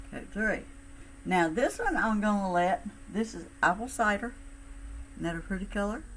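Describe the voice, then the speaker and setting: With a Southern US accent, a woman speaks at medium pitch with lively intonation and long, frequent pauses over noticeable background noise. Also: moderate pace. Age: 60s. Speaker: cosmetics sales consultant. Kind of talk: makeup tutorial. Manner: casual, chatty.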